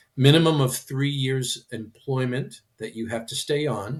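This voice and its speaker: The speaker has an American accent, a somewhat breathy sound and fairly even intonation. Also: man. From Michigan. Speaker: practice transition consultant. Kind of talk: podcast interview.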